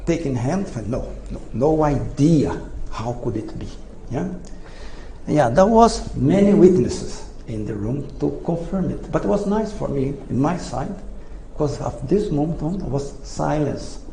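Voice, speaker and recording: Someone with a non-native accent speaks at a fairly slow pace, with audible room echo and noticeable background noise. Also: man. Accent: non-native English pronunciation. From Brazil. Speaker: engineer, inventor. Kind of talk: lecture. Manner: halting.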